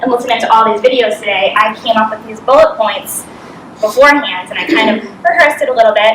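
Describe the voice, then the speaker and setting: At a very fast pace, a woman with an American accent speaks in an animated tone with ordinary pitch variation, amid audible room echo and noticeable background noise. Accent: Boston, thick when nervous. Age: 30s. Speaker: business coach. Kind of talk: motivational talk. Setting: stage with audience.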